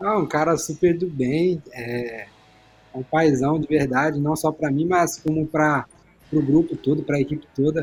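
With an unremarkable speaking voice, a man talks at a moderate pace, his fairly high pitch moving in fairly even intonation. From Brazil, São Paulo state. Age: 20s. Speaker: professional footballer. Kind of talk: casual chat.

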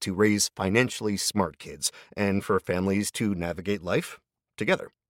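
A man with a fairly low pitch is heard in a very clean recording with a silent background and a dry, close sound with no echo. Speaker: podcast host. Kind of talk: casual host commentary and ad reads. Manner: friendly, chatty, conversational.

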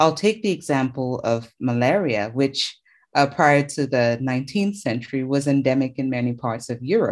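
A woman speaks at a moderate pace with a very deep, low pitch and lively intonation. The background is quiet. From Cameroon. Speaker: infectious diseases doctor. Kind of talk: interview.

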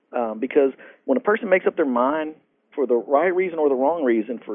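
Fairly quick and fairly high-pitched, a man speaks in a Texan accent. His pitch varies in an ordinary way. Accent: Texan American. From Texas, Fort Worth. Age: 40s. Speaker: motivational speaker. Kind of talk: interview. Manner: halting, frequent fillers.

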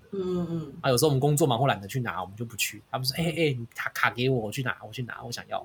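Over noticeable background noise, a man with a medium pitch talks at a very fast pace with lively intonation and hardly any pauses. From Taiwan. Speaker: podcast host. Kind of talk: casual chat.

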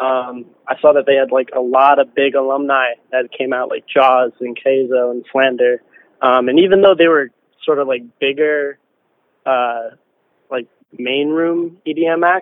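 With an ordinary speaking voice, a man talks at a fairly slow pace, his medium pitch carrying fairly even intonation. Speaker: techno producer and DJ. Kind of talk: interview.

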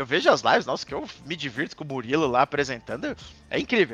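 Very fast and animated, a man talks in a bright, sharp tone with very wide pitch swings. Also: dry, close sound with no echo. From Santa Catarina, southern Brazil. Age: 30s. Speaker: esports caster. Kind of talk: casual interview chat.

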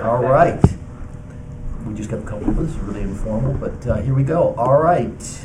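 Noticeable background noise runs under a man speaking at a moderate pace. His pitch is medium, with ordinary variation. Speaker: township trustee chairing meeting. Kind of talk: formal public meeting. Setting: township meeting room.

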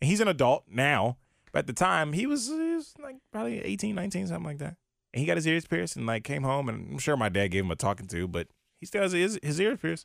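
A man with an American accent, a fairly high pitch, very wide pitch swings and a very fast pace. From Virginia. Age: 20s. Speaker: podcast co-host. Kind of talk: casual chat.

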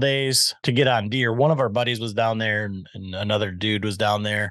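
A man with an American accent talks at a moderate pace in a normal speaking voice, medium in pitch with ordinary pitch variation. The sound is dry and close with no echo, over a quiet background. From West Michigan. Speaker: podcast host and bowhunter. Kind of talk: casual chat.

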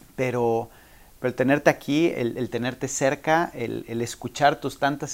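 Fairly slow speech with a Mexican accent in a very clean recording over a silent background. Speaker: podcast host. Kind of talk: interview.

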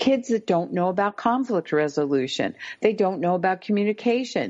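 A woman speaks in a normal speaking voice at a moderate pace. Her pitch is fairly high, and the background is quiet. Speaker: parenting expert, podcast guest.

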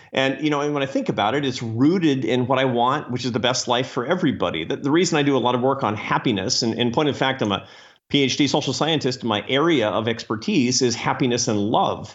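A man at a medium pitch talks at a very fast pace with ordinary pitch variation and hardly any pauses. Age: 50s. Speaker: former think tank president. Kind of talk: interview conversation.

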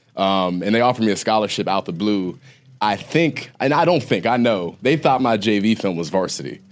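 A man with a plain, everyday voice speaks at a fairly low pitch with lively intonation on a very clean recording with a silent background. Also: moderate pace. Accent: American. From Ohio. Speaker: podcast host and former college football player. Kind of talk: casual chat.

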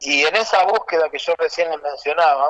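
At a fairly slow pace, a man uses an ordinary speaking voice with fairly high pitch and ordinary pitch variation. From Argentina, Rosario and Santiago del Estero. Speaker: folk violinist. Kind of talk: interview.

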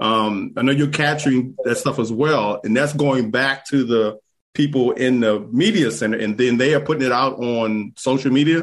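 A man with a plain, everyday voice and medium pitch speaks at a moderate pace with very even loudness, ordinary pitch variation and hardly any pauses. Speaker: golf podcast co-host. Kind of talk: casual chat. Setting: video call.

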